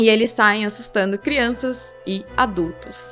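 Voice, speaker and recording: A woman's voice with music in the background. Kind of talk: folklore and curiosity narration to camera.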